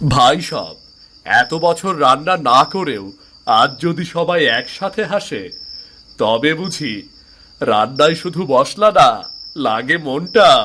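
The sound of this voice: Slowly, a man performs a cartoonish character voice with a bright, sharp tone and lively intonation. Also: medium pitch for a man.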